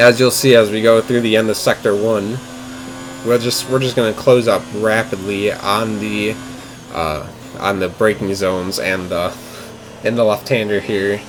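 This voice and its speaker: Over noticeable background noise, a man speaks at a moderate pace with a fairly low pitch and fairly even intonation. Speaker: sim racing gameplay commentator. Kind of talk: gameplay commentary. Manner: slurring words; casual, self-correcting.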